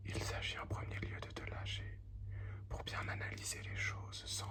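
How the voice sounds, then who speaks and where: The speech comes at a fairly slow pace with noticeable background noise. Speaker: ASMR tarot reader. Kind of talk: ASMR tarot reading. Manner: whispered.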